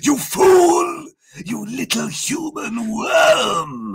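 A man growls in a put-on character voice at an extremely high pitch. He talks at a very slow pace. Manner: menacing, scornful.

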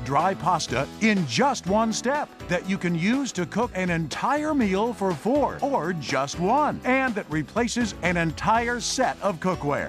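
A man speaks at a fairly slow pace with a high pitch and very wide pitch swings. Music plays in the background. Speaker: announcer. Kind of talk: infomercial voiceover.

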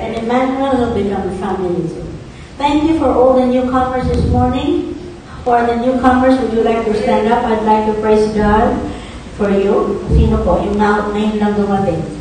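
Amid strong room echo and light background noise, a woman of fairly high pitch talks at a moderate pace with ordinary pitch variation. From Philippines. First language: Tagalog. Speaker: preacher. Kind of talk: sermon. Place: church.

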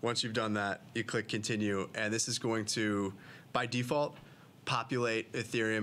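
Over light background noise, a man with an American accent talks at a fairly quick pace in a bright, sharp tone. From Western New York; New York State. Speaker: crypto show host. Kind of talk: casual educational chat and tutorial. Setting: studio. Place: studio. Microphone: studio mic.

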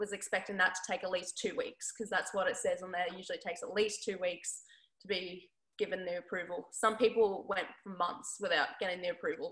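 Against a quiet background, a woman speaks in an Australian accent with a bright, sharp tone. Her pace is fairly quick and her intonation fairly even. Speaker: basketball player. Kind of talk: interview. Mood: relaxed, friendly. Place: home room. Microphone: video call.

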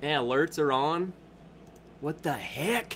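Slow and fairly high-pitched, the man speaks with a fairly bright tone and ordinary pitch variation.

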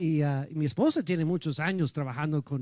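A man with an English accent, a dark, mellow tone and a dry sound with no echo. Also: quiet background. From United States. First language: English (speaking Spanish). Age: 60s. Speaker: pastor. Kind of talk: sermon. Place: church. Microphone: handheld.

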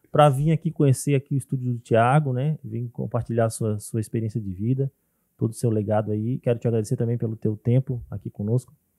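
A man talks very fast in a dark, mellow tone with fairly even intonation. The sound is dry with no echo over a quiet background. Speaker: ceramic artist; podcast host. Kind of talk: casual chat. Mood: warm, grateful. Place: studio. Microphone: studio mic.

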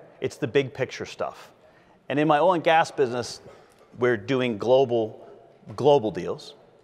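At a moderate pace, a man is talking. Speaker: attorney debater on stage. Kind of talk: debate presentation. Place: hall. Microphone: lapel.

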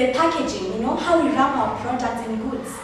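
A woman's voice comes through strong room echo and noticeable background noise. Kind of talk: acted debate speech. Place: classroom.

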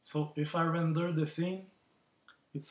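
A non-native accent at a fairly slow pace. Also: man. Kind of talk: software tutorial. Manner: hesitant, many fillers.

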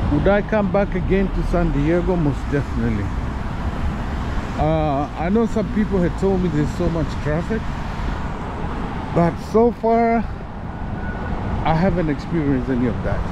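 The dry sound has no echo, with noticeable background noise, a moderate pace and long, frequent pauses. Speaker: father vlogger. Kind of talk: casual vlog chat. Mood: relaxed, pleased. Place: street. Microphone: phone near.

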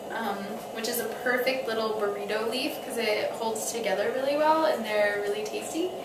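Clear background noise sits under speech at a fairly slow pace with ordinary pitch variation. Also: woman.

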